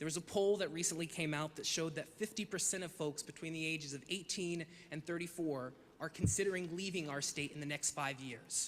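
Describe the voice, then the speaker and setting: A man with an American accent and an ordinary speaking voice talks fairly quickly, his pitch fairly high and his intonation fairly even. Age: 20s. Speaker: advocacy communications director. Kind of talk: public hearing testimony. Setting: virtual public hearing.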